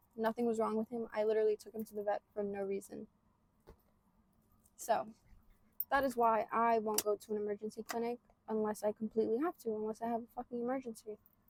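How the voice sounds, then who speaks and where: A woman talks at a fairly quick pace in a fairly high pitch with monotone, flat intonation. The sound is dry and close with no echo. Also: long, frequent pauses, big swings in loudness. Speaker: podcaster. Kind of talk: casual vlog monologue. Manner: fast.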